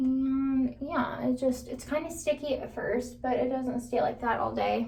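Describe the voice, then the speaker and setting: Audible room echo surrounds a woman's voice. She speaks at a fairly slow pace. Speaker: beauty vlogger. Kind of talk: tutorial. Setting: bathroom.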